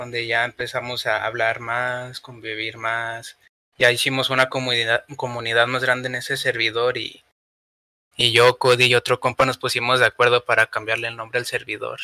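A man speaks in a Mexican accent at a moderate pace and medium pitch, with monotone, flat intonation. His tone is bright and sharp, with a dry, close sound with no echo. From Mexico. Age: 20s. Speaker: podcast producer. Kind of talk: casual chat.

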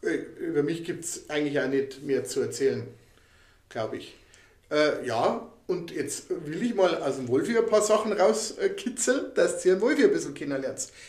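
Audible room echo surrounds a man speaking at a moderate pace, his loudness swinging widely. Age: 50s. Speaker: podcast co-host. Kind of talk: casual chat.

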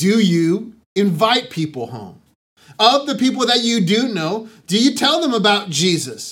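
A man talks at a fairly slow pace with an American accent. His pitch is high and his intonation lively. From Southern California, San Diego. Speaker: pastor. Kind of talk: sermon. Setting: online church broadcast.

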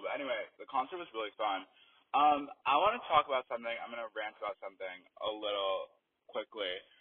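A man's voice at a fairly quick pace. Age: young. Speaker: podcast host. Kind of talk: casual monologue.

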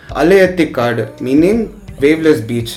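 Over music in the background, a man talks at a moderate pace with a fairly high pitch. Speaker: entrepreneur. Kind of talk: casual chat.

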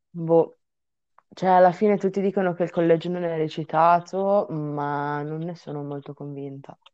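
At a moderate pace, a woman with a fairly low pitch uses an ordinary speaking voice, her intonation fairly even but her loudness swinging widely. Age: young. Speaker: podcast co-host, university student. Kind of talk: casual chat.

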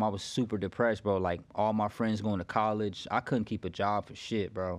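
Against a quiet background, a man with an American accent and a fairly low pitch speaks with fairly even intonation in an ordinary speaking voice. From Florida. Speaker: barber. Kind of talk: casual chat.

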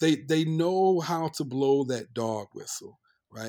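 With an American accent, a man uses a normal speaking voice, pitched fairly high, with ordinary pitch variation. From North Carolina. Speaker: history professor. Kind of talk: interview conversation.

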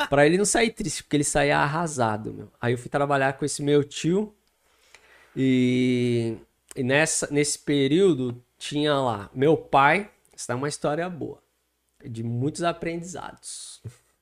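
In a very clean recording with a silent background, a man with a normal speaking voice talks at a fairly slow pace with ordinary pitch variation. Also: fairly high pitch for a man. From Guarulhos, São Paulo state, Brazil. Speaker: pastor. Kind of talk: casual interview with life story.

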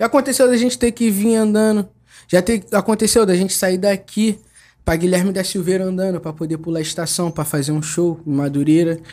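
The tone is dark and mellow, and the pace fairly quick. The recording is very clean, with a silent background. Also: man, high pitch for a man, ordinary pitch variation. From Rio de Janeiro, Bangu. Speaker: rapper and MC. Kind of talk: casual chat.

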